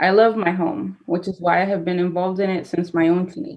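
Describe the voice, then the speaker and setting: A woman at a medium pitch speaks at a moderate pace. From Madera, California (Central Valley). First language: Spanish. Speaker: city council applicant, former journalist. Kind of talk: prepared statement at council meeting. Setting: city council meeting. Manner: formal.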